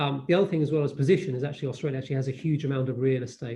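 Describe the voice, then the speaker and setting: Very fast and somewhat breathy, a man talks at a medium pitch with a dark, mellow tone and fairly even intonation. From United Kingdom. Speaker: diplomat speaking on cybersecurity. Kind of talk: panel presentation. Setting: online webinar.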